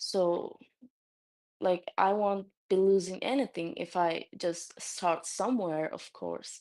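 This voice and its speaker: A woman with a Turkish accent speaks at a medium pitch. Her pace is very slow. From Turkey. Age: 20s. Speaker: new convert sharing her story. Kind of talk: testimony. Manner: halting, many fillers.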